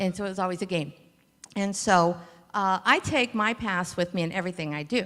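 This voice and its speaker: Talking fairly quickly, a woman keeps a medium pitch that varies in an ordinary way. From Cleveland, Ohio, US (Puerto Rican family). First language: Spanish. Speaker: logistics company founder. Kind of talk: conference talk.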